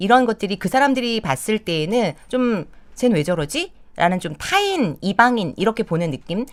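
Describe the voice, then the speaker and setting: A woman at a moderate pace, fairly high in pitch, with very wide pitch swings. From Seoul metropolitan area, South Korea. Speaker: career consultant and company head. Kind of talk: interview. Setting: live interview show.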